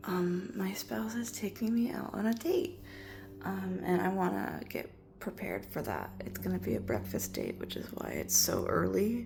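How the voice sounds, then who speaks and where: At a moderate pace, the voice is quiet. Noticeable background noise runs beneath it. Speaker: vlogger. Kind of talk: casual vlog. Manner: quiet, hushed.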